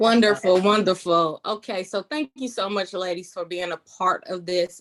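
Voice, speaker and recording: A plain, everyday voice with an American accent, moderate pace, ordinary pitch variation and dry, close sound with no echo. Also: woman, medium pitch for a woman. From Detroit, Michigan. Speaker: panel host, marriage counselor. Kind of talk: moderated online panel.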